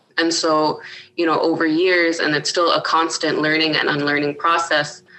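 A woman with a very deep, low pitch and a bright, sharp tone speaks at a moderate pace in a monotone, flat intonation. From Iqaluit, Nunavut (Canadian Arctic). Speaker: actress. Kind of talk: interview conversation. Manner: talkative.

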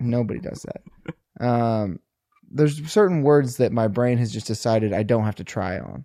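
A man with a Midwestern accent, medium pitch and a dark, mellow tone. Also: ordinary pitch variation, moderate pace, dry, close sound with no echo. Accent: rhotic, rounded R's, Midwest. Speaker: podcast host. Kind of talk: casual chat.

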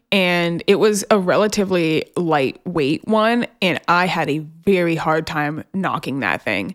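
A woman with an ordinary speaking voice and fairly low pitch talks with hardly any pauses, in a dry, close sound with no echo. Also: ordinary pitch variation, fairly slow pace. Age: 20s. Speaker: podcast co-host. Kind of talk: casual chat.

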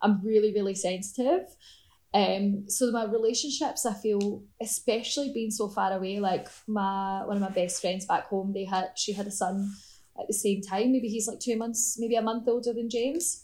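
The voice carries a strong Scottish accent and sounds somewhat breathy. Its intonation stays fairly even. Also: woman, medium pitch for a woman, moderate pace. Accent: Scottish, strong enough that people struggle. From Scotland. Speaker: artist. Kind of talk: casual interview chat.

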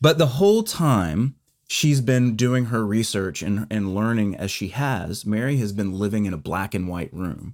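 On a very clean recording with a silent background, a man talks in a normal speaking voice at a moderate pace. His pitch is fairly low and his intonation lively. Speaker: podcast co-host. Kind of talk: casual conversational discussion.

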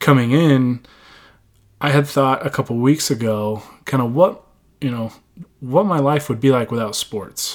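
At a moderate pace and medium pitch, a man speaks with ordinary pitch variation and long, frequent pauses on a very clean recording with a silent background. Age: 20s. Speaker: sports podcast host. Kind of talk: casual solo podcast monologue. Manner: halting, many fillers.

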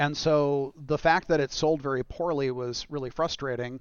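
Here is a normal speaking voice, pitched fairly high for a man. He keeps to a moderate pace. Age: 40s. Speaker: video game director. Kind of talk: casual chat.

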